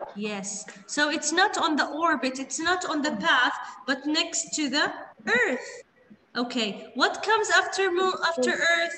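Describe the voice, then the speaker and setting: A woman speaks fairly slowly in a raised, projected voice. There is audible room echo and light background noise. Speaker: primary school teacher. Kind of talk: online class teaching. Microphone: video call.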